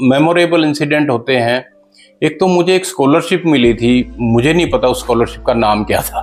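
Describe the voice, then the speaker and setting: A man talks with lively intonation over music in the background. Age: old. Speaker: lawyer, retired air force serviceman. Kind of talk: interview answer.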